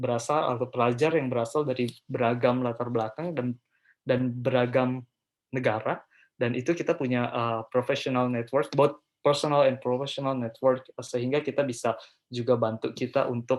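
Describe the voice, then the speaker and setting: A flat, monotone man's voice at a mid-range pitch. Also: moderate pace. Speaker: scholarship and study-abroad speaker, postgraduate student. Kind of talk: webinar presentation. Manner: hesitant, many filler sounds; code-switching Indonesian and English.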